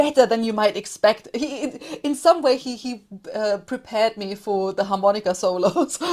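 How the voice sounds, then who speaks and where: A woman at a fairly high pitch, lively intonation, big swings in loudness, moderate pace. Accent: German. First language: German. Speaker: podcaster, music commentator. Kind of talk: casual interview chat.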